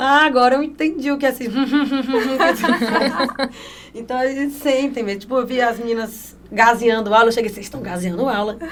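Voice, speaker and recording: A woman's high voice at a fairly quick pace, ordinary pitch variation, audible room echo and noticeable background noise. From Piauí, northeastern Brazil. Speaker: honey sommelier and entrepreneur. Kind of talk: podcast interview. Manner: animated.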